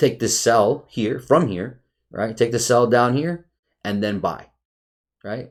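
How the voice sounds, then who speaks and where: Over a very clean recording with a silent background, a man at medium pitch speaks at a very slow pace with long, frequent pauses and ordinary pitch variation. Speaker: trading educator. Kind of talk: market analysis tutorial. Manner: rambling, halting.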